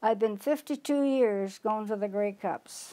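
A woman speaks at a fairly slow pace. Her pitch variation is ordinary. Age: 80s+. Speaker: longtime football fan. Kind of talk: interview answer. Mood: reminiscing, calm. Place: home room. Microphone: lapel.

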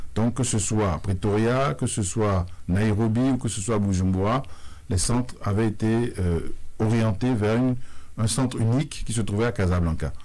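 Speaking at a fairly slow pace, a man uses a dark, mellow tone and a fairly low pitch, keeping his loudness very even. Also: ordinary pitch variation. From Benin. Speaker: sports confederation president. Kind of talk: radio interview. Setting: radio studio. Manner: formal. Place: studio. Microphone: studio mic.

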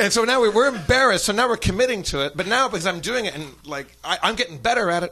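A man talks very fast in a high, raised, projected voice with hardly any pauses. His tone is bright and sharp, his intonation lively. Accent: American. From United States. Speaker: comedian. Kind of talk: comedic storytelling. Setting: stage with audience. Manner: animated. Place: stage. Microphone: studio mic.

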